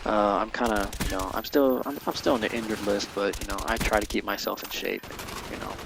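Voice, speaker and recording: With fairly even intonation and a fairly low pitch, a man with an American accent talks at a fairly quick pace over noticeable background noise. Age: young. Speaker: gamer. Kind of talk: casual chat. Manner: halting, many fillers.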